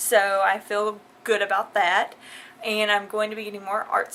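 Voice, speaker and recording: A woman talks with a Southern US accent. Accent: southern drawl. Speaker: vlogger. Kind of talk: casual vlog.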